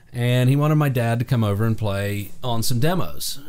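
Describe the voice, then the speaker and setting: Speaking at a moderate pace with an American accent, a man shows ordinary pitch variation, and the room echo is audible. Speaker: session drummer. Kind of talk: interview. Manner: casual, with fillers.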